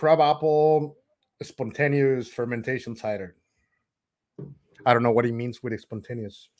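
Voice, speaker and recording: A medium-pitched man with a Spanish accent, pausing long and often. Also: ordinary pitch variation, moderate pace. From Mexico. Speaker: homebrewer, friend of host. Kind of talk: casual chat.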